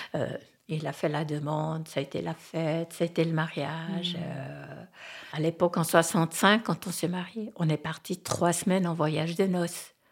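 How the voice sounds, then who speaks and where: A woman's normal speaking voice, fairly low in pitch, at a fairly slow pace with fairly even intonation. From French-speaking Switzerland. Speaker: interviewee sharing life story. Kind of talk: personal testimony. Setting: at her home in the countryside.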